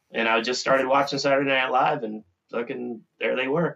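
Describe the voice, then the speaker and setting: A plain, everyday voice comes from a man talking at a fairly quick pace with a medium pitch and an American accent. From Minnesota. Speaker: author and longtime deadhead. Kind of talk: casual chat.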